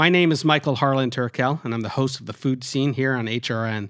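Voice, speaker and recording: In a plain, everyday voice, the speaker moves at a fairly quick pace, captured on a very clean recording with a silent background and a dry, close sound with no echo. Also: man. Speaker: network announcer. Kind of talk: promo announcement.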